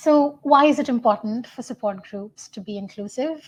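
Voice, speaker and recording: A woman with a Tamil accent at a moderate pace. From India. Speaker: student researcher. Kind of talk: conference talk.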